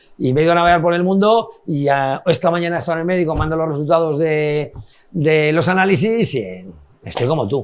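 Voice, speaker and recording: Speaking with a Madrid accent, a man talks at a fairly quick pace and a fairly high pitch, with ordinary pitch variation. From Spain, Madrid. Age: 50s. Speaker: nightclub owner. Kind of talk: casual chat.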